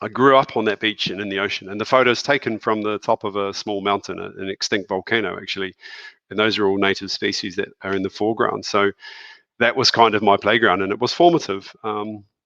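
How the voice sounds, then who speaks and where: The speaker has a New Zealand accent and a bright, sharp tone, talking at a fairly quick pace with fairly even intonation. The recording is dry and close, with no echo. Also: man, fairly low pitch for a man. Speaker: school principal. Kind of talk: presentation with slides in a video call. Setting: video call from his office.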